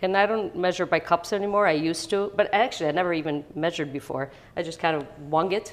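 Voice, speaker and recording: Very fast and with a Chicago accent, a woman talks at a fairly low pitch with ordinary pitch variation. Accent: Chicago American English. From US Midwest, Chicago (born in Italy, moved at 8). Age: 60s. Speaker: home baker, parishioner. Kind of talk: cooking demonstration. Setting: kitchen. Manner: casual, hesitant with fillers.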